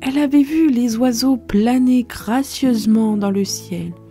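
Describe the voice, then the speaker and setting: A woman speaks softly at a very slow pace, her tone soothing. Music plays in the background. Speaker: storyteller. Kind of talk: bedtime story. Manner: soft, soothing.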